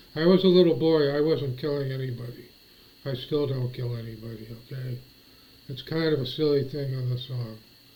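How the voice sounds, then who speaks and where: A man's medium-pitched, somewhat breathy voice with an American accent, at a fairly quick pace, with audible room echo. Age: 60s. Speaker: vlogger. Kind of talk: casual monologue. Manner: halting.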